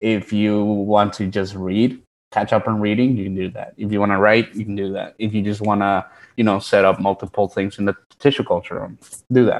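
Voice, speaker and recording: A man with a fairly low pitch speaks at a fairly quick pace in a Spanish accent. His intonation is monotone and flat against a quiet background. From Guatemala. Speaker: PhD student. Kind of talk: casual interview.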